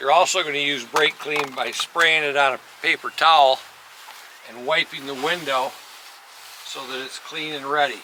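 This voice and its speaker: Amid noticeable background noise, a man with a fairly high pitch talks in a monotone, flat intonation at a moderate pace, with big swings in loudness and long, frequent pauses. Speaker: auto glass installer. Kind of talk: tutorial. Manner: casual.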